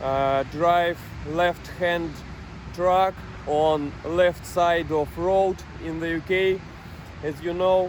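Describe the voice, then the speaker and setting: With a non-native accent and a high pitch, a man speaks at a very slow pace in monotone, flat intonation over noticeable background noise. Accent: non-native English, imperfect pronunciation. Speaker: truck driver. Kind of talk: personal vlog monologue. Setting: parked truck in France. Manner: halting, many fillers.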